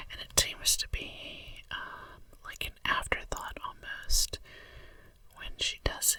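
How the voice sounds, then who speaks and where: The speaker whispers at a fairly slow pace. There is noticeable background noise. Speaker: ASMR creator. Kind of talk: ASMR whispering. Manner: whispered.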